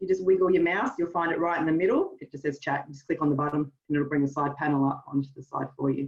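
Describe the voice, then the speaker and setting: Her intonation is lively. This woman speaks with an Australian accent. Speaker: marketing trainer. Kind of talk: webinar workshop. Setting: video call. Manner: fast.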